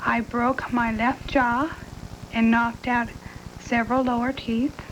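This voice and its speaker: Against noticeable background noise, a woman with a high pitch speaks at a very slow pace. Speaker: crash survivor. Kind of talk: testimony.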